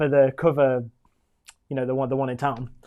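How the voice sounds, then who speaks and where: A man's fairly high voice with a West Midlands accent and monotone, flat intonation. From West Midlands, England (Walsall). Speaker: musical theatre performer. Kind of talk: casual chat. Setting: live stream chat show.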